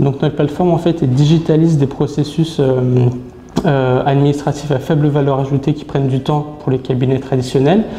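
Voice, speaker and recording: Speaking at a fairly quick pace, a man keeps a fairly high, monotone, flat delivery at very even loudness over noticeable background noise. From France, Brittany (Saint-Malo). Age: 20s. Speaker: sales manager. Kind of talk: interview. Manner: hesitant, many fillers.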